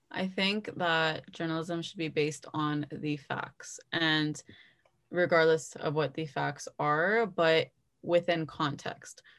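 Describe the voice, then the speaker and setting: With a Toronto accent, a woman talks very slowly at a fairly low pitch, her intonation fairly even, against a quiet background. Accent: Canadian (Toronto area). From Canada, Brampton, Ontario. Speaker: journalism student. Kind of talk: casual interview.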